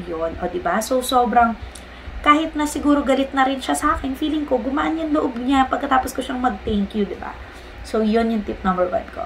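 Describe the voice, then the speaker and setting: Lively intonation over light background noise. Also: woman, high pitch for a woman, fairly quick pace. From Philippines. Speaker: vlogger and online ESL teacher; vlogger, online ESL teacher. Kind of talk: casual vlog tutorial; casual vlog chat. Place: home room. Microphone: phone near.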